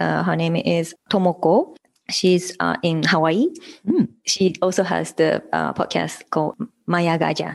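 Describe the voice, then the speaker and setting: A woman speaks with a Japanese accent. Her pace is fairly slow. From Hiroshima, Japan. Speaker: podcaster and mother. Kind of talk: casual interview chat.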